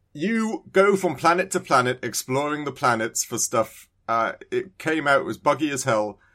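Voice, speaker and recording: On a very clean recording with a silent background, a man with a British accent talks at a moderate pace, his tone bright and sharp, his pitch fairly high and his intonation lively. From UK. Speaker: podcast co-host. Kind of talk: casual chat.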